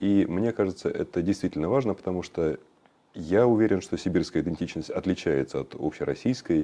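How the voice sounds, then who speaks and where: With vocal fry and a dark, mellow tone, a man speaks at a very deep, low pitch and a moderate pace, his intonation lively and his loudness swinging widely. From Western Siberia. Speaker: cultural activist. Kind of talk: interview. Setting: studio. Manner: halting.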